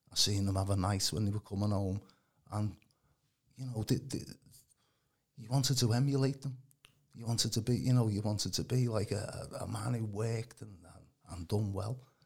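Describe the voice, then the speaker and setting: Somewhat breathy and fairly low in pitch, a man speaks at a moderate pace with fairly even intonation, big swings in loudness, and long, frequent pauses. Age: 60s. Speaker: healing minister. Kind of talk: testimony.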